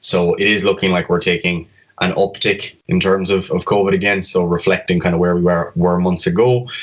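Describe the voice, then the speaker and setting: In a southwest Irish accent, a man talks at a fairly quick pace with a very deep, low pitch. His intonation is monotone and flat, and his loudness stays very even. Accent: southwest Irish (Kerry). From Ireland, County Kerry. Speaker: fitness coach and medical student. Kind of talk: podcast interview.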